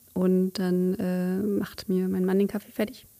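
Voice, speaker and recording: A woman's medium-pitched voice with a dark, mellow tone and a fairly slow pace. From Cologne, Germany. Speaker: wedding photographer. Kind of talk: casual interview. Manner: halting, many fillers.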